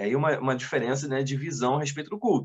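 This man's voice is somewhat breathy. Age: 30s. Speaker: deacon and seminary teacher. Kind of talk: casual chat. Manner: halting.

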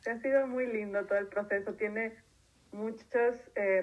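A woman speaks at a fairly slow pace in a fairly high voice. It's a normal speaking voice with ordinary pitch variation. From Mexico, Tijuana. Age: 30s. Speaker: environmental consultant. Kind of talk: interview.

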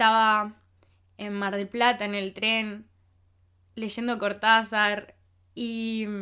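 A woman with a Rioplatense accent speaks at a very slow pace and a fairly high pitch. Her tone is bright and sharp on a very clean recording with a silent background. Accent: Rioplatense Spanish (porteño). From Argentina (Buenos Aires), childhood partly in France. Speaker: podcast host. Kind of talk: personal monologue.

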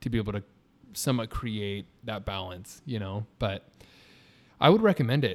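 A man with a Californian accent and a fairly low pitch, ordinary pitch variation, and long, frequent pauses. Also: moderate pace. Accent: Californian American. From Southern California (Riverside). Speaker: wedding videographer. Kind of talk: casual chat. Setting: in the guest's studio.

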